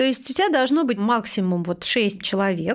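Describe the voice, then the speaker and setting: A woman's very fast, lively-intoned speech on a very clean recording with a silent background. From Moscow, Russia. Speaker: magazine editor-in-chief. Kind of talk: interview conversation.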